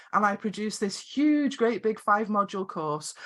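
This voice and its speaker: A woman's medium-pitched voice in a Scottish accent, on a very clean recording with a silent background. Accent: quirky Scottish. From Scotland. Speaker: video production coach and business founder. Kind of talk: podcast interview.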